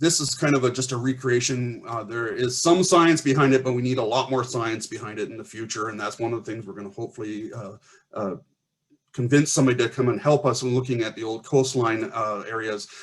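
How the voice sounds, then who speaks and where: A man's somewhat breathy voice at medium pitch, fairly quick in pace, with big swings in loudness and ordinary pitch variation. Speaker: archaeologist. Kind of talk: conference presentation. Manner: fast.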